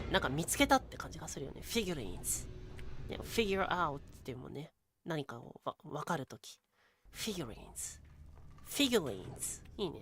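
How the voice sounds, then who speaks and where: Talking at a very fast pace, a woman leaves long, frequent pauses, and her loudness swings widely. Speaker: VTuber, game streamer. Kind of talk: casual live game commentary.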